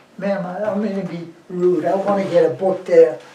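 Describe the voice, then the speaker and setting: A man speaks in an American accent at a high pitch, flat and monotone. His pace is moderate, with noticeable background noise behind him. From West Virginia. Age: 90s. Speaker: war veteran. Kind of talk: oral history interview. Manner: halting.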